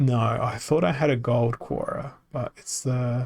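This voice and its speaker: This man has an Australian accent and a medium pitch. His tone is relaxed, with some vocal fry. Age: 30s. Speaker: video game streamer. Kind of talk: gameplay livestream commentary. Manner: relaxed, hesitant with many fillers.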